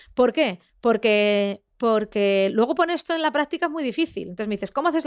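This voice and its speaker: Over a silent background in a very clean recording, a woman speaks with lively intonation at a fairly high pitch. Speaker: investigative journalist. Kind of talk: interview conversation. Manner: fast; halting, many fillers.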